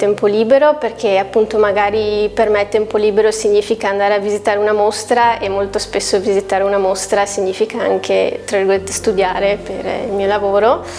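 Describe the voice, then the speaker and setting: A woman's medium-pitched voice at a fairly quick pace, with hardly any pauses and noticeable background noise. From Veneto, Castelfranco Veneto area. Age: 20s. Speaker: graphic designer. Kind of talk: interview answers. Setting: coworking office. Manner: hesitant, many fillers.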